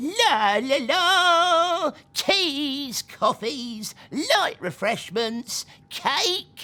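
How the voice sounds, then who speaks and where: Very slow and high-pitched, this put-on character voice makes very wide pitch swings. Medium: read story. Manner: brusque, gruff.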